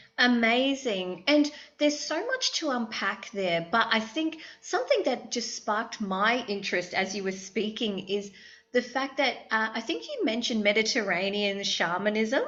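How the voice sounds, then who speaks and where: A woman with an Australian accent and a fairly high pitch talks at a moderate pace with lively intonation. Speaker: therapist and podcast host. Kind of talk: interview.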